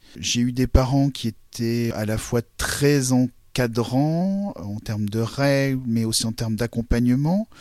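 A man's medium-pitched voice at a very slow pace, with ordinary pitch variation and hardly any pauses. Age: 40s. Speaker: blind consultant and coach. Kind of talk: interview testimony.

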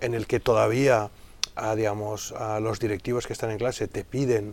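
A man speaks with a medium pitch. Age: 40s. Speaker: digital consultant and business school lecturer. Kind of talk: interview. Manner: hesitant, with many fillers and repetitions.

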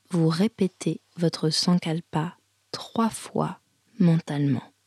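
At a very slow pace, the voice is somewhat breathy with a dark, mellow tone and ordinary pitch variation, in a dry, close sound with no echo. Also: woman. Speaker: yoga teacher. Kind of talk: guided meditation (yoga nidra), spoken image cues. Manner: slow, soft, calm, with pauses and repeated phrases; soothing, gentle, hypnotic.

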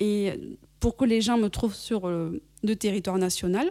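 A woman's dark, mellow tone comes through as she talks at a fairly slow pace. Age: 40s. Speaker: podcast host and business coach. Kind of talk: solo podcast monologue. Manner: upbeat.

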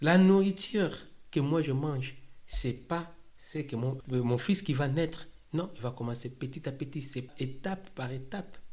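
The man's pitch is fairly high, with ordinary pitch variation and a somewhat breathy sound. His pace is fairly slow. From DR Congo, Kinshasa. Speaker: asylum seeker turned employee. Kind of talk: testimony. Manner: halting.

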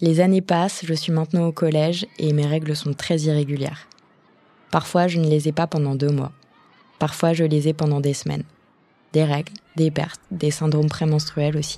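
Very deep, low female voice with a dark, mellow tone, monotone and flat intonation, moderate pace and long, frequent pauses. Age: 20s. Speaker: podcast host. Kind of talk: scripted narration.

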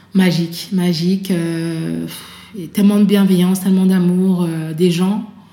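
A woman of medium pitch talks at a fairly slow pace in monotone, flat intonation, with noticeable background noise and audible room echo. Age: 30s. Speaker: author and association founder. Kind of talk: interview testimony. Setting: at guest's home. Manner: hesitant, many fillers.

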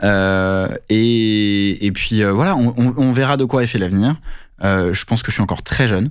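A man's normal speaking voice, fairly low in pitch with ordinary variation, at a moderate pace and very even loudness, in a very clean recording with a silent background. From France (Paris). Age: 30s. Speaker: business founder. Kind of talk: interview.

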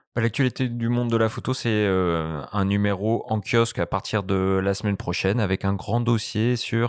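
A man talks at a fairly slow pace in an ordinary speaking voice, fairly low in pitch, with fairly even intonation. The recording is very clean with a silent background and a dry, close sound with no echo. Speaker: magazine editor. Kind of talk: podcast interview.

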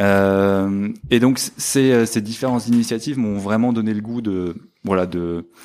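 Fairly even intonation and a fairly low pitch mark this man's unremarkable speaking voice. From northern France. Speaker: fundraising manager at a business school. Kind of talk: interview.

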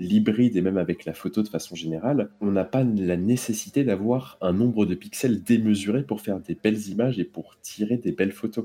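Speaking at a moderate pace, a man has a fairly low pitch, a dark, mellow tone and ordinary pitch variation. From France, Versailles. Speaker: photographer. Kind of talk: casual chat. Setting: WhatsApp call.

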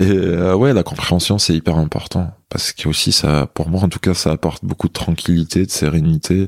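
The speaker keeps a moderate pace with hardly any pauses and a fairly even intonation, in a dry, close sound with no echo and noticeable background noise. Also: man, very deep, low pitch for a man. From Algeria, Kabylie (Béjaïa). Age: 20s. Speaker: massage therapist and hypnotherapist. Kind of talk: casual interview. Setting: massage practice room.

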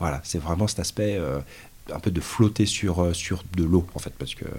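A man talks at a fairly quick pace. His very deep, low voice carries vocal fry. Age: 40s. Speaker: mountaineer, automotive engineer. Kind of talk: casual interview. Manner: halting, many fillers.

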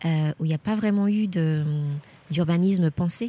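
A woman's voice, fairly low in pitch with a dark, mellow tone, comes through somewhat breathy with ordinary pitch variation in a dry, close sound with no echo. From Guadeloupe. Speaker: journalist and teacher. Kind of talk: travel interview. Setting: outdoors at a memorial site. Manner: halting, repeats words.

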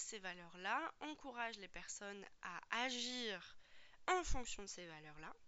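At a very slow pace, a woman with a fairly high pitch speaks in very wide pitch swings. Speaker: podcast host and personal development coach. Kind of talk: solo podcast monologue, coaching talk. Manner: casual, hesitant with frequent fillers.

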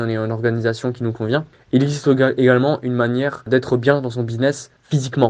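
This man's pitch is medium and his pace moderate. He speaks with monotone, flat intonation. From Alsace, France (Strasbourg). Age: 20s. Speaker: videographer. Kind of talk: recorded testimony with advice.

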